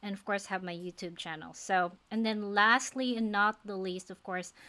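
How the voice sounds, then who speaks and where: A woman speaks in a Filipino accent at medium pitch and a moderate pace. Her tone is bright and sharp, her intonation fairly even. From Philippines. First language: non-English (Philippine language). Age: 40s. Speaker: nurse and faith-based life coach. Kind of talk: personal vlog, motivational talk to camera. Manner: casual, conversational with hesitations.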